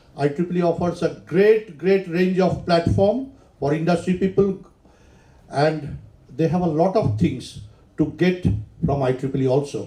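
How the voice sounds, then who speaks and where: A loud man's voice, high in pitch with a dark, mellow tone, ordinary pitch variation, a moderate pace, long and frequent pauses, and audible room echo. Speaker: engineer and professional society volunteer. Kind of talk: conference talk.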